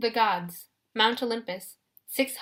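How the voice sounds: The background is quiet behind a natural reading voice whose pitch varies in an ordinary way.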